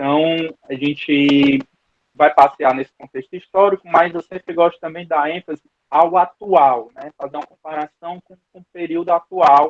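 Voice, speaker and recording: Fairly even intonation, big swings in loudness and a moderate pace from a man with a fairly high pitch. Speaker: Bible school teacher. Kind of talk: online Bible class lecture. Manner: hesitant, repeats words.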